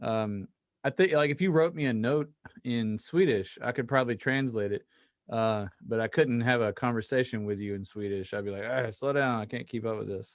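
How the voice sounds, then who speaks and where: A man with a Southern US accent, medium pitch, ordinary pitch variation and moderate pace, on a very clean recording with a silent background. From US South (Mississippi). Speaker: podcast host. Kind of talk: casual interview chat.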